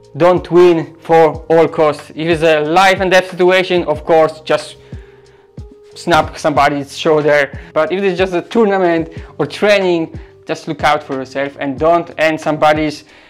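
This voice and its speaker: Faint music plays in the background as a man speaks at a moderate pace with fairly even intonation and long, frequent pauses. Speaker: grappling instructor. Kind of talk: tutorial. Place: gym. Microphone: lapel.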